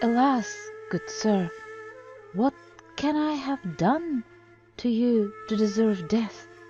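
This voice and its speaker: A shaky, female-sounding put-on character voice with fairly high pitch, spoken at a very slow pace. Long, frequent pauses break it up, with clear music in the background. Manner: trembling.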